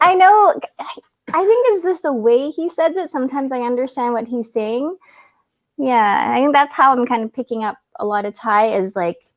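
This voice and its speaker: The voice has a Canadian accent and moves at a moderate pace. Its pitch swings very widely. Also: woman, high pitch for a woman, dry, close sound with no echo. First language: Cantonese. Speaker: travel vlogger. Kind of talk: casual chat.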